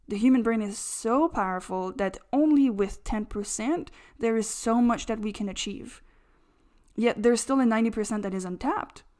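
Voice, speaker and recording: Fairly high-pitched woman's voice in a French accent, with ordinary pitch variation, on a very clean recording against a silent background. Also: moderate pace. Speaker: astrologer podcaster. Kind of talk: monologue podcast talk.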